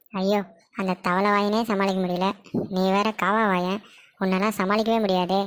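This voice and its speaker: A woman at medium pitch does a cartoonish character voice, speaking fairly slowly with monotone, flat intonation and very even loudness. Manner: cheeky, fast.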